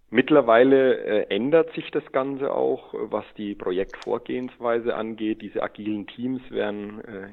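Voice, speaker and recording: A man with a Lower Franconian accent. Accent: Lower Franconian German, audible. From Lower Franconia, Germany (Schweinfurt region). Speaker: SAP consultant, head of consulting. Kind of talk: interview. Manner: hesitant, many filler sounds.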